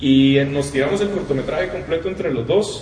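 With noticeable background noise and audible room echo, a man with a Costa Rican accent talks in a fairly high pitch with ordinary pitch variation. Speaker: audiovisual producer, studio co-founder. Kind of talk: casual chat. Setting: studio.

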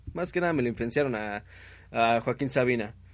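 Against a quiet background, a man with a Mexican accent talks at a fairly quick pace. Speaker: internet radio host. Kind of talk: casual late-night radio show with music. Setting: home broadcast over internet.

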